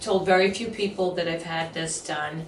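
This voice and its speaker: A woman's fairly low voice comes in a flat monotone at a moderate pace, with audible room echo and noticeable background noise. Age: 60s. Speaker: actor and comedian, facelift patient. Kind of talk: interview testimony.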